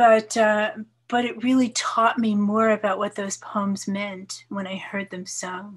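Against a quiet background, a woman with a fairly high, somewhat breathy voice speaks at a fairly slow pace in a flat monotone, her loudness swinging widely. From New York. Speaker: poet and retired English professor; poet, retired English professor. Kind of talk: casual interview with poetry readings. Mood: warm, relaxed. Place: home room. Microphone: video call.

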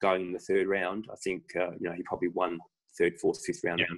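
A man's voice rises and falls with ordinary pitch variation while the background stays quiet. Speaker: podcast guest. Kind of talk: interview answer. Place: home room. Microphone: video call.

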